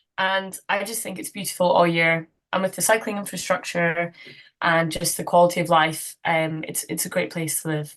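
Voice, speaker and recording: Over a quiet background, a woman with a fairly low pitch speaks at a moderate pace with fairly even intonation but big swings in loudness. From west of Scotland. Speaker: cyclist and community activist. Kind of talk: interview. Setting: remote call from home.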